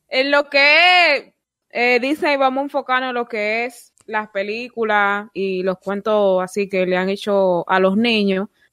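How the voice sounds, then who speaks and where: A woman's fairly high voice with lively intonation at a very slow pace, dry and close with no echo. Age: 20s. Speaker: podcast host. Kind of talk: casual chat.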